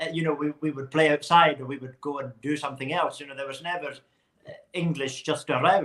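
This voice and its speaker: Very fast and monotone, a man talks with a Hebridean accent at a fairly high pitch. His loudness swings a lot, though his intonation stays flat. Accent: Hebridean Scottish. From Scottish Hebrides (South Uist). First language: Scottish Gaelic. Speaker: Gaelic singer. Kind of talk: interview. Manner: halting, repeats words.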